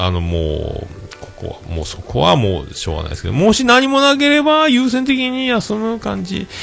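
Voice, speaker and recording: Music in the background beneath a man's voice at a moderate pace. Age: 40s. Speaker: podcast host. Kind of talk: casual solo talk show. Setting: home livestream recording. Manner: animated; formal, polite phrasing.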